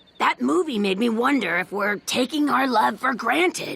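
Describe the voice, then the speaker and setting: A cartoonish character voice at fairly high pitch, with very wide pitch swings, very even loudness and a moderate pace. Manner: earnest, emotional.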